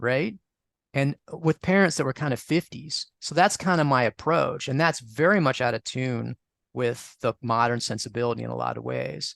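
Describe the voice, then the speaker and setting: A man with an American accent talks at a moderate pace in a plain, everyday voice, medium in pitch with ordinary pitch variation. The sound is dry and close with no echo, over a quiet background. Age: 60s. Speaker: astrologer and author on astrological magic. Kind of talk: interview. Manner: conversational with many fillers and restarts.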